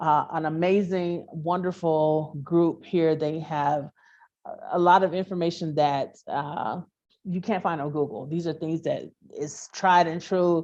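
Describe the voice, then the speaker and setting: An American accent with fairly even intonation. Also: woman, fairly low pitch for a woman. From US South, Memphis, Tennessee. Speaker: entrepreneur and expat. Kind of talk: interview conversation. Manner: hesitant, many fillers.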